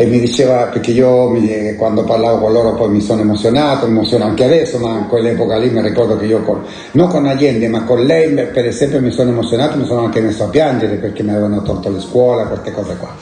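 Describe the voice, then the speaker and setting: This man speaks very fast, at a medium pitch, with fairly even intonation. The room echo is audible, and background noise is noticeable. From Chile, La Serena. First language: Spanish (speaking Italian). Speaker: Chilean exile, former political activist. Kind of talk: life-story interview.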